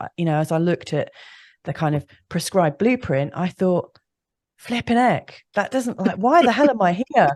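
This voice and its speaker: Moderate pace and lively intonation from a woman with a British accent against a quiet background. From UK. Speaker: astrologer. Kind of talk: interview.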